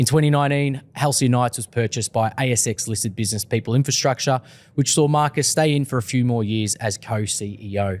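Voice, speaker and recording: With an Australian accent, a man talks at a fairly quick pace. His pitch is medium, with ordinary pitch variation. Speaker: podcast host. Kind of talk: casual chat.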